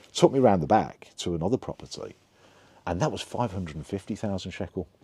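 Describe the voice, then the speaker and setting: Speaking very fast with a Birmingham accent, a man with a fairly low, dark and mellow voice uses lively intonation and big swings in loudness. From England (Birmingham). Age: 60s. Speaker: vlogger telling life story. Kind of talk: personal storytelling monologue. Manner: halting, many fillers and restarts.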